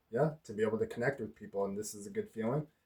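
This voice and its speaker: Here a man speaks in a dark, mellow tone. His intonation is lively. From Spokane Reservation, Washington, US. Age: 20s. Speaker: vlogger. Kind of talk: casual vlog talk. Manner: halting, many fillers.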